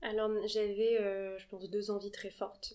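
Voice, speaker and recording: At a fairly slow pace, a woman talks in a fairly high pitch with monotone, flat intonation. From Paris, France. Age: 20s. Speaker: art agency founder. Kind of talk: interview.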